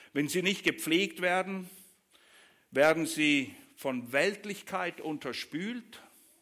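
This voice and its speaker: The tone is warm and animated, yet also bright and sharp, with ordinary pitch variation. The recording is very clean, with a silent background. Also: man. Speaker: preacher. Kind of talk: sermon. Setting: church.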